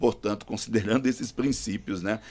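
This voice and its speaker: A man with vocal fry talks at a moderate pace and a fairly low pitch. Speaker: pastor. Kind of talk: panel discussion.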